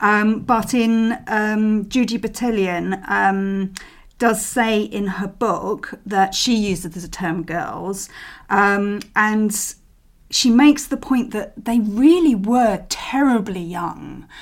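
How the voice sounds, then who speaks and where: A woman with a London accent speaks at a very slow pace and a fairly high pitch. The recording is very clean, with a silent background. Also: ordinary pitch variation. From England, East London. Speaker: social historian and podcast host. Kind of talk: storytelling history narration. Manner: hesitant, many fillers.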